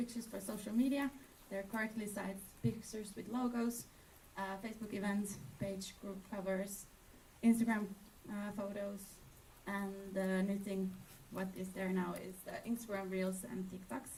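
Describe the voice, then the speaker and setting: Amid noticeable background noise and audible room echo, a woman speaks at medium pitch and a moderate pace, with fairly even intonation and long, frequent pauses. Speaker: presenter for a travel partner. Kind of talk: conference presentation.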